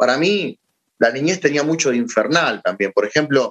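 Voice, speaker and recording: Delivered at a moderate pace, an unremarkable speaking voice carries lively intonation. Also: man. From Argentina. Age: 30s. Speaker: philosopher and teacher. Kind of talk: casual interview.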